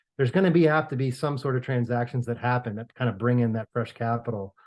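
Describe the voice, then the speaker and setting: A man with an American accent speaks very fast. The background is quiet. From New York. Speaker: real estate finance professor and consultant. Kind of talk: podcast interview. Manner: hesitant, many fillers and repeats.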